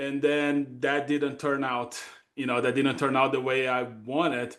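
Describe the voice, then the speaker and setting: Moderate-paced speech in a Brazilian accent. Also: man. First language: Portuguese. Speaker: data consulting executive. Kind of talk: podcast interview. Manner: halting, many fillers.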